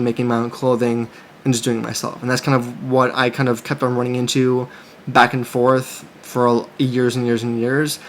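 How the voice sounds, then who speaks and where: A man speaks in a monotone, flat intonation at a fairly quick pace amid noticeable background noise. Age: 30s. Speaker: clothing brand owner and YouTuber. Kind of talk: casual vlog monologue. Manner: halting, many fillers and restarts.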